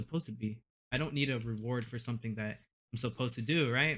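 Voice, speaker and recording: Speaking very fast, the man holds a medium pitch and lets it vary in an ordinary way. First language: Spanish. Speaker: university student, gamer. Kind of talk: casual chat. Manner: halting.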